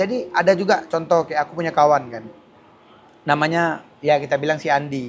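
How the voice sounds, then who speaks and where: A man speaks in a normal speaking voice, fairly high in pitch, at a fairly quick pace. His pitch variation is ordinary, while his loudness swings a lot. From Aceh, Indonesia. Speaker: street interviewer. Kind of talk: casual interview.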